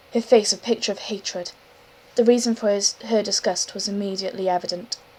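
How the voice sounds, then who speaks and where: A woman with a fairly high voice talks at a moderate pace and fairly even intonation as noticeable background noise continues. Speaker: amateur audiobook reader. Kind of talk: reading aloud. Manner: halting. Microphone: poor audio quality.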